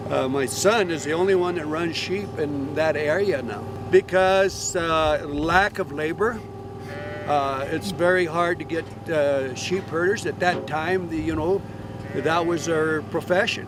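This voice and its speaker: With an American accent, a man talks at a fairly slow pace in a fairly high pitch and ordinary pitch variation. Noticeable background noise is present. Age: 70s. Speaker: rancher. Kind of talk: interview. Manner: halting, many filler sounds.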